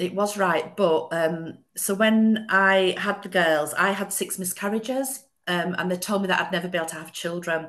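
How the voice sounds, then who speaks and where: A woman's medium-pitched voice moves at a moderate pace with ordinary pitch variation. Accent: Yorkshire. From West Yorkshire, England. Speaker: interior designer. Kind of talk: casual interview chat.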